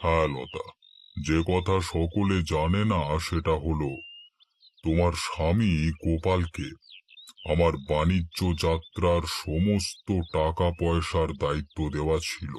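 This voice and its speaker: In a cartoonish character voice, a man speaks very deep and low, at a fairly slow pace with fairly even intonation. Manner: authoritative, cold.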